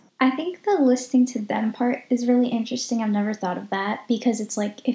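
Somewhat breathy and dark, mellow in tone, a woman's fairly high voice moves at a fairly quick pace with fairly even intonation. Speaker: podcast host. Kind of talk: casual conversational podcast.

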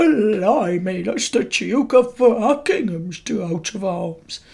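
At a very slow pace, a man puts on a character voice pitched high.

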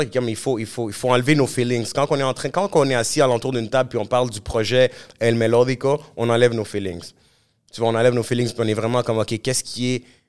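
A man's medium-pitched voice at a very fast pace. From Montreal, Quebec. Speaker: musician. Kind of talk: casual interview. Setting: studio. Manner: animated.

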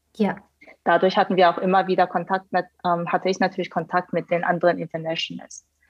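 A woman's fairly low-pitched, monotone voice, flat in intonation, at a fairly quick pace. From Hannover, Germany (from South Korea at nine). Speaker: management consultant. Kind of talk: podcast interview. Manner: hesitant, many fillers.

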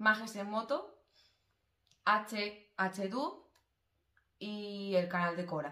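The pace is very slow, with long, frequent pauses. Intonation stays fairly even. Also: woman, medium pitch for a woman. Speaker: podcast co-host. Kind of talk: casual chat. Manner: quiet.

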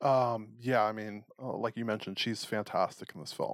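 Recorded very cleanly against a silent background, with a dry, close sound and no echo, a man has an unremarkable speaking voice, medium pitch, ordinary pitch variation and a moderate pace. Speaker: podcast host. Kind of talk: casual chat.

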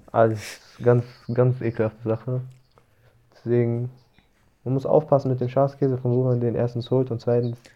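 The tone is dark and mellow, with monotone, flat intonation. Long, frequent pauses run through the speech. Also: man, medium pitch for a man. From Germany, Darmstadt. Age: 20s. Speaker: podcast guest. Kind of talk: casual chat.

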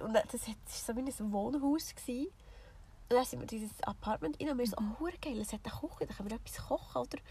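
Talking at a fairly quick pace in a high pitch, a woman with a Swiss accent shows ordinary pitch variation and big swings in loudness. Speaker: podcast co-host. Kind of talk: casual chat. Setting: in a camper van with the rear hatch open.

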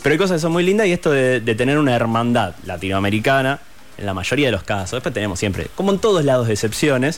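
Noticeable background noise sits behind a man talking at a very fast pace. His medium-pitched voice swings very widely in pitch. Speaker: radio host. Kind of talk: interview.

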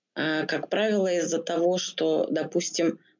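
A woman with fairly low pitch speaks at a fairly slow pace. There is vocal fry, and her pitch varies in an ordinary way. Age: 40s. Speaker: psychologist. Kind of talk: interview.

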